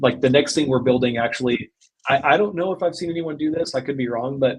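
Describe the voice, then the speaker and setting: A man talks at a very fast pace. His voice is somewhat breathy, with ordinary pitch variation. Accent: American. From US South, Arkansas. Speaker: e-commerce agency owner. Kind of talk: podcast interview.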